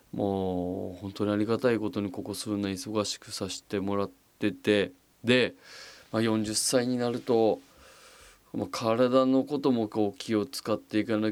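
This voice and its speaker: A man with an unremarkable speaking voice and fairly low pitch speaks at a fairly slow pace with fairly even intonation on a very clean recording with a silent background. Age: 40s. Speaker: podcast host. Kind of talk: casual monologue. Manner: relaxed, many fillers.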